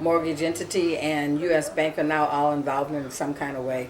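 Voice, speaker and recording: With an American accent and a very deep, low pitch, a woman speaks at a moderate pace over noticeable background noise. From US Midwest, Minneapolis. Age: 60s. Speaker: homeowner facing foreclosure. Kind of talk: interview.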